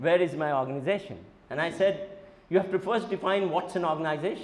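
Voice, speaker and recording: A man speaks at a fairly quick pace. His pitch is high. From India. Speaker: university vice chancellor and professor; professor. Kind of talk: lecture. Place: classroom. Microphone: lapel.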